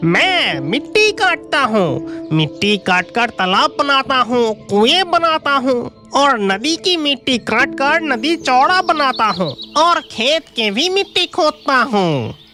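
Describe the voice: In a high, female-sounding cartoonish character voice with very wide pitch swings, the speaker moves at a very slow pace while music plays clearly in the background.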